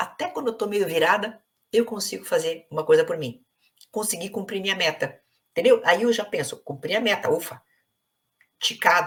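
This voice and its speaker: Her pauses are long and frequent. The woman otherwise keeps a moderate pace. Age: 60s. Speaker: psychologist. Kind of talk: interview conversation.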